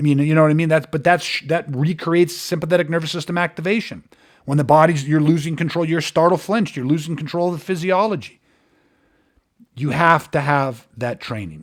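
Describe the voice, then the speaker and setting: The man's pitch is fairly high. His pitch variation is ordinary. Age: 50s. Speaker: martial arts and self-defence instructor. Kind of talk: podcast monologue. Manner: animated.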